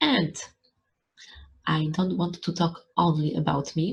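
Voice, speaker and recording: A woman with a Polish accent speaks at a very slow pace in a fairly low pitch. Vocal fry runs through her voice, and her pitch variation is ordinary. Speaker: YouTuber. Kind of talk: vlog talk to camera.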